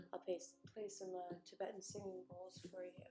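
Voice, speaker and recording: A woman speaks in a dark, mellow tone. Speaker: yoga instructor. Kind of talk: guided meditation. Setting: livestream. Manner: soft-spoken.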